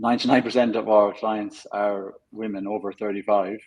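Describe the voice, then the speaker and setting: A man speaks with an Irish accent at a moderate pace. His pitch is fairly low and his intonation is monotone and flat. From Ireland. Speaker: fitness coach. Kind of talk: interview.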